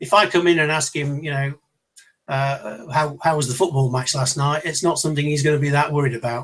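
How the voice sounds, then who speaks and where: Speaking at a fairly quick pace, a man with a British accent uses a fairly high pitch and fairly even intonation. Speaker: leadership trainer. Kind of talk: online seminar talk. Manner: fast; loud.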